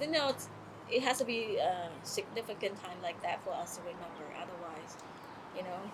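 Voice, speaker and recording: Against noticeable background noise, a woman at medium pitch speaks at a moderate pace with lively intonation. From Cambodia, Kampong Cham. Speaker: refugee interviewee. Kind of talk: oral history interview. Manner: halting.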